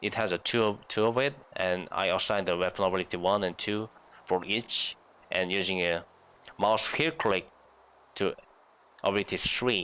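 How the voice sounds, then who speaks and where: A man with a Korean accent speaks at a fairly low pitch, his tone bright and sharp. His loudness stays very even, his pitch varies in an ordinary way, and he leaves long, frequent pauses. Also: moderate pace. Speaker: gaming youtuber. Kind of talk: tutorial. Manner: halting.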